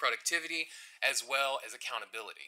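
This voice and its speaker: A man's bright, sharp tone at a very fast pace. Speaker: customer service supervisor. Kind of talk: formal presentation to council.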